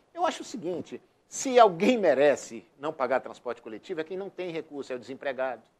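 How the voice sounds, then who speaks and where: A man speaks at a fairly quick pace and fairly high pitch. His voice has very wide pitch swings and big swings in loudness. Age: 60s. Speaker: city councillor. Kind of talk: TV interview. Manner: hesitant, many repetitions.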